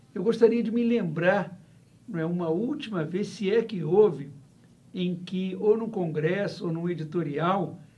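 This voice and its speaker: Speaking at a moderate pace with lively intonation, a man with a high pitch has a dark, mellow tone, and the room echo is audible. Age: 70s. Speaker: professor. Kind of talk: interview. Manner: halting, with many fillers.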